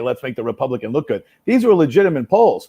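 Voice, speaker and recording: With a New York accent, a man speaks at a fairly quick pace in a fairly high voice, his pitch swinging very widely. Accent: New York City. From New York City, the Bronx. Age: 60s. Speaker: congressional candidate. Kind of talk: live interview.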